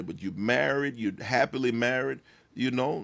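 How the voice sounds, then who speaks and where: Animated and swinging very widely in pitch, a man with an American accent speaks on a very clean recording with a silent background. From East Texas (Tyler). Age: 50s. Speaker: pastor and content creator. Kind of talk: podcast interview.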